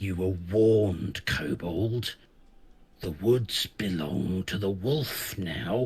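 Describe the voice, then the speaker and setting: A man's gruff, put-on character voice, very deep and low, at a very slow pace. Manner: threatening.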